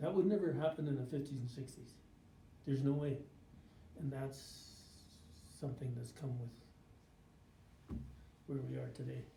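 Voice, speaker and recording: The speaker moves at a moderate pace with long, frequent pauses, amid audible room echo and noticeable background noise. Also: man, medium pitch for a man. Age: 70s. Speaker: First Nations elder. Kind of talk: life story interview. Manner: halting, repetitive.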